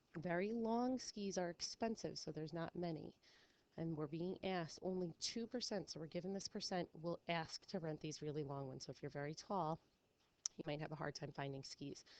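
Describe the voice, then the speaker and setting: Pitched fairly low, a woman speaks at a fairly quick pace with ordinary pitch variation. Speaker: high school statistics teacher. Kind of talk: recorded lesson review. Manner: fast.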